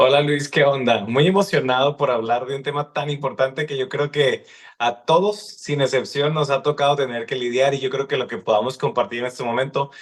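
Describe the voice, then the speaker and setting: With hardly any pauses, a man talks at a fairly quick pace, his fairly high pitch showing ordinary variation. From Mexico, Sonora (Hermosillo area). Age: 30s. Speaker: psychologist. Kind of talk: podcast interview.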